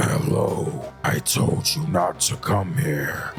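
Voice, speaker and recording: A man in a put-on character voice, speaking very slowly over clear background music. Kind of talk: not normal speech.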